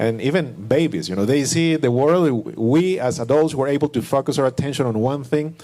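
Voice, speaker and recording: With a non-native accent and a dark, mellow tone, the speaker moves at a moderate pace with ordinary pitch variation. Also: man. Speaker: panelist. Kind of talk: panel discussion. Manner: halting.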